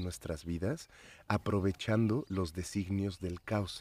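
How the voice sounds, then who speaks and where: A man's fairly low voice with a dark, mellow tone at a moderate pace, dry and close with no echo, on a very clean recording with a silent background. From Mexico City. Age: 40s. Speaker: psychedelic activist and DJ. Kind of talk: casual chat. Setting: outdoors in a garden.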